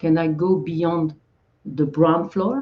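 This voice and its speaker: A somewhat breathy woman's voice with a French accent. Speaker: Zen speaker giving a talk. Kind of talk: dharma talk. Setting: livestream video. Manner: halting.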